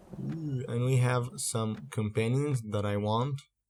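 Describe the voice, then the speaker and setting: A man speaks with a non-native accent and ordinary pitch variation. The recording is very clean, with a silent background. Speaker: gaming video creator. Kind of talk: gameplay commentary. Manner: hesitant, many fillers and repeats.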